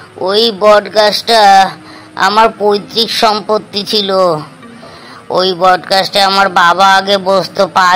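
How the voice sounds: A cartoonish character voice at a middle pitch speaks in a flat monotone at a fairly slow pace, with clear background noise.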